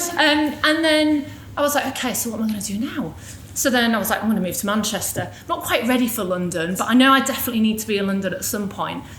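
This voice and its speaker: Amid audible room echo and noticeable background noise, a woman with a fairly high pitch speaks at a very fast pace with lively intonation. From northern England, Yorkshire (near Hull). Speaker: business executive, guest speaker. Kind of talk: personal story talk at a panel event. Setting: live event with audience. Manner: casual, conversational.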